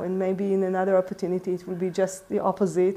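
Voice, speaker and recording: A woman's medium-pitched voice with a non-native accent. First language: not English. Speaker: urban ecology teacher. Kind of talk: personal talk to camera. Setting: in front of a camera. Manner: halting, many fillers.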